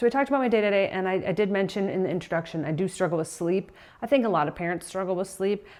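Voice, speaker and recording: A woman talks at a very fast pace. Her voice sits at a medium pitch with ordinary pitch variation. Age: 40s. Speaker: vlogger, working mom and weightlifter. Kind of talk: casual vlog talk to camera. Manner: casual with fillers and self-corrections.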